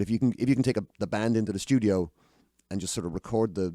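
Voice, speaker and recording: A man with a Dublin accent, fairly low in pitch, with a dark, mellow tone and lively intonation at a very fast pace, in a dry, close sound with no echo and a very clean recording over a silent background. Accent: Dublin Irish. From Ireland, Dublin. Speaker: singer-songwriter. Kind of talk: casual chat. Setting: studio. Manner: halting.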